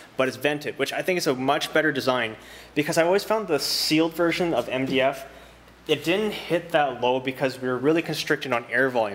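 Fairly quick speech from a man, his pitch varying in an ordinary way. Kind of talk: product review tutorial. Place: workshop.

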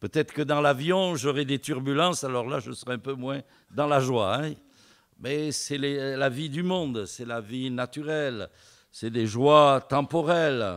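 The background is quiet as a man speaks at medium pitch. His pace is very slow. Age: old. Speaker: visiting preacher. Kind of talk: sermon. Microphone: podium.

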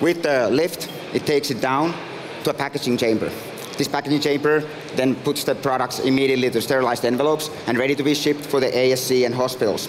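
Very fast speech from a man with a Finnish accent, fairly even intonation and noticeable background noise. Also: very even loudness. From Finland. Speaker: startup founder and CEO. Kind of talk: pitch presentation. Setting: stage with audience. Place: stage. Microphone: headset.

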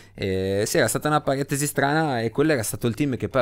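A man's very fast delivery with ordinary pitch variation. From Genoa, Italy. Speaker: motorcycle racer. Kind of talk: interview storytelling.

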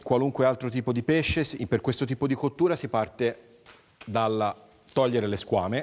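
A man with an unremarkable speaking voice talks at a medium pitch and moderate pace, with ordinary pitch variation. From Livorno, Tuscany. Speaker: chef. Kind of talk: cooking demonstration.

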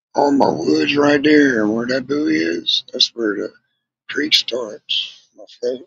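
A man's slow, fairly bright voice with vocal fry, a slightly husky edge and ordinary pitch variation. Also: medium pitch for a man.

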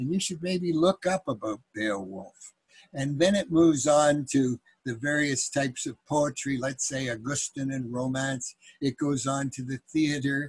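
A man's somewhat breathy, fairly high voice at a fairly slow pace, with ordinary pitch variation, a dry sound with no echo and a quiet background. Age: old. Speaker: grandfather. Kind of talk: casual talk to grandchildren about books. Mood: warm, playful. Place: home room. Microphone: webcam.

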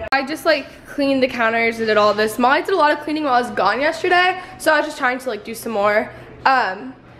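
A woman's high voice, lively in intonation, at a very fast pace over light background noise. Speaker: vlogger. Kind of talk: casual vlog chat. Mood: cheerful, chatty. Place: home room. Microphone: phone near.

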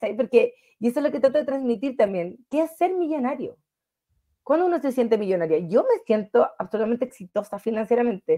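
A woman with a Chilean accent talks at a fairly quick pace, her high pitch swinging very widely. Her tone is dark and mellow against a quiet background. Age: 30s. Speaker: financial wellness coach. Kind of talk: interview. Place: home room. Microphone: video call.

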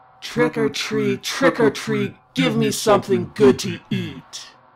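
In a put-on character voice, a man speaks at a very deep, low pitch and a very slow pace. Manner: menacing.

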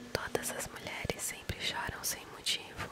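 Whispering, a woman speaks at a very slow pace. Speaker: ASMR creator. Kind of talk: ASMR whispering video, reading a message aloud. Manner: whispered, soft. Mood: calm, gentle, sleepy. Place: home room. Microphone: studio mic.

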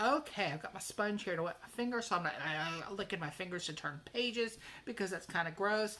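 Her intonation is lively as the woman talks. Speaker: crochet vlogger. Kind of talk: casual vlog chat, magazine review. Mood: chatty, lightly humorous. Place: home room. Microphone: phone near.

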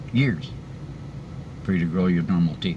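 Over noticeable background noise, a man with a very deep, low pitch speaks at a moderate pace. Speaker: vlogger sharing denture experience. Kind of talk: casual vlog chat. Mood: encouraging, upbeat. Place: car. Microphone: phone near.

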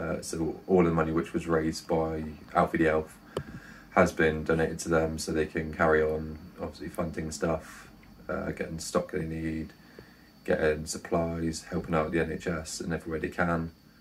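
At a moderate pace, a man speaks in a very deep, low voice with flat, monotone intonation. Light background noise can be heard. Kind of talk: to-camera appeal.

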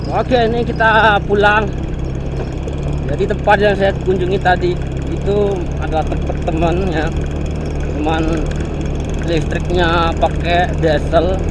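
The speech is fairly slow, with long, frequent pauses. The sound is dry with no echo, but there is loud background noise. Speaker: migrant worker vlogger. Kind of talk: casual vlog chat. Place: motorbike. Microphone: phone near.

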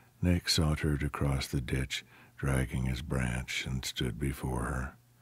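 A man speaks fairly slowly at a very deep, low pitch, with vocal fry. His tone is dramatic, yet his intonation stays monotone and flat. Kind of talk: audiobook narration. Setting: audiobook sample. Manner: dramatic, storytelling delivery with character voices.

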